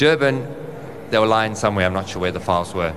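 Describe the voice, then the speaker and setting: Over noticeable background noise and audible room echo, a man with a fairly low pitch talks with lively intonation. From South Africa, Johannesburg. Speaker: conference speaker on insurance data. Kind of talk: conference presentation.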